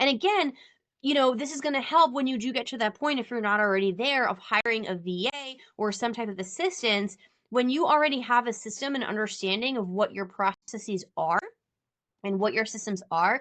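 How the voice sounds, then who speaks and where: A woman's fairly high voice with lively intonation. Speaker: business coach. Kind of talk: live online workshop. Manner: fast.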